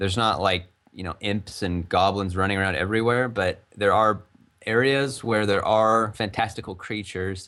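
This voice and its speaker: This man has a fairly low pitch, a plain, everyday voice and an American accent, speaking at a moderate pace with fairly even intonation. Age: 20s. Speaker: game developer. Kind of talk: interview. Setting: live stream interview. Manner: casual.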